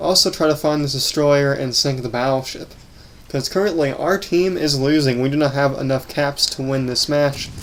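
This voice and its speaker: In an unremarkable speaking voice, a man talks at a moderate pace with fairly even intonation and a fairly high pitch. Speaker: gaming YouTuber. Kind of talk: gameplay commentary.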